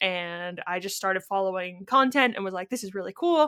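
On a very clean, silent recording with a dry, close sound and no echo, a woman with a Canadian accent speaks at a medium pitch with a bright, sharp tone and ordinary pitch variation. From Ontario, Canada. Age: 20s. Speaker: podcast co-host, product designer. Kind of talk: casual chat.

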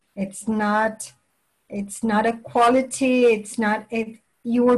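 Her voice is fairly high and somewhat breathy. This woman speaks with monotone, flat intonation. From Venezuela, raised partly in England. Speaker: language teacher and department head. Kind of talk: interview.

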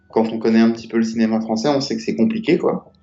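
A man's voice over background music. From Paris. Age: 40s. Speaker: film director and former graffiti artist. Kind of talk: casual interview.

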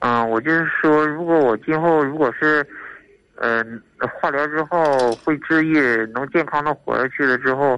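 A man speaks at a fairly slow pace with a fairly high pitch. His tone is bright and sharp, and his intonation stays fairly even. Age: 30s. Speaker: caller, leukemia patient. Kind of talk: call-in confession. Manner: halting.

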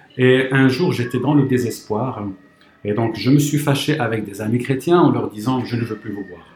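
A man at a medium pitch speaks with big swings in loudness over noticeable background noise. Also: ordinary pitch variation, moderate pace. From Morocco. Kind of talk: testimony.

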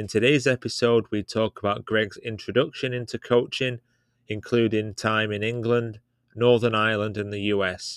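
Recorded very cleanly against a silent background, with a dry, close sound and no echo, a man speaks in a normal speaking voice. His pitch is medium, his pace moderate and his intonation fairly even. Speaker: podcast host, youth soccer coach. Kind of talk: interview, casual chat.

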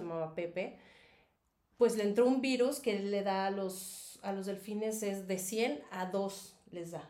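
A woman with a Mexico City accent at a fairly slow pace, with audible room echo. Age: 40s. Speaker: former dolphin trainer and advertising model. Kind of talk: casual interview.

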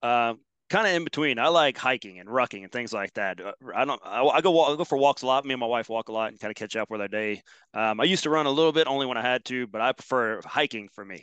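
A man talks very fast at a medium pitch with ordinary pitch variation and big swings in loudness. The sound is dry and close with no echo, over a quiet background. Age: 40s. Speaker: fitness trainer and gym owner. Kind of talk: interview.

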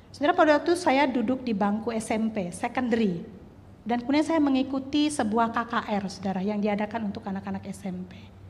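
A woman's fairly high voice, lively in intonation and fairly quick in pace, with audible room echo. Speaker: preacher. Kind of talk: sermon. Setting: church. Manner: loud.

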